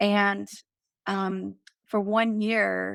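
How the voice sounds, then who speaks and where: A Southern US accent, dry and close with no echo, on a very clean recording with a silent background. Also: woman. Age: 50s. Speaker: life coach and author. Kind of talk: interview.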